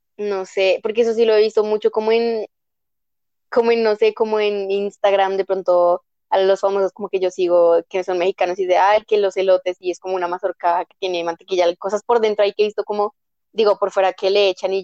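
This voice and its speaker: Her voice is medium in pitch with a dark, mellow tone, and this woman talks at a fairly quick pace with fairly even intonation and big swings in loudness. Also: dry, close sound with no echo. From Bogotá, Colombia. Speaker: guest. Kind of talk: casual chat.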